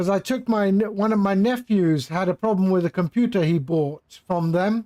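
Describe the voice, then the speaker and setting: A man with an English accent speaks at a fairly slow pace, his pitch high with ordinary variation. The recording is very clean, with a silent background and a dry, close sound with no echo. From England (London). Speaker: flight sim streamer. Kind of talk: live stream chat. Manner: casual, conversational.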